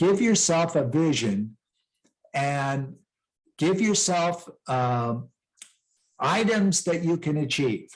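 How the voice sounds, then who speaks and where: A man with an American accent speaks at a very slow pace in a high voice, with lively intonation, very even loudness, and long, frequent pauses. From western US (Rocky Mountains). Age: 60s. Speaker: peace ambassador and author. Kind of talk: interview. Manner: conversational, motivational.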